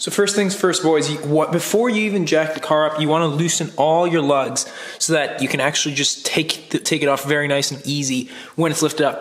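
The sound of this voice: Audible room echo surrounds a man whose raspy voice sits at a fairly high pitch, with a fairly bright tone and fairly even intonation.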